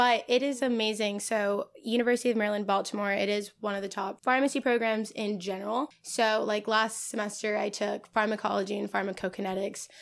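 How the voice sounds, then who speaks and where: A woman with an American accent speaks at a fairly high pitch and a fairly quick pace, her intonation monotone and flat, with hardly any pauses. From Los Angeles area, California. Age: 20s. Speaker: cannabis budtender and graduate student. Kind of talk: casual chat.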